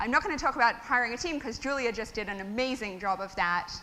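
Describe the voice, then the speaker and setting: A woman's raised, projected voice in an Australian accent, very fast in pace, with lively intonation. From Australia (Melbourne). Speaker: tech startup founder. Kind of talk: conference talk. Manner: casual, many fillers.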